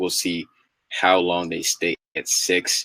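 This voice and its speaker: In a dry, close recording with no echo, a man speaks with an American accent. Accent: slight New York accent, stronger when relaxed. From New York. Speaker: hip hop commentary podcast host. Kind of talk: casual solo commentary. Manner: animated, repetitive filler phrases.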